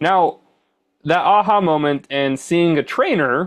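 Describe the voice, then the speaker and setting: This is an ordinary speaking voice, a man with lively intonation talking at a moderate pace against a quiet background. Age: 30s. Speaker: podcast host. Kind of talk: interview.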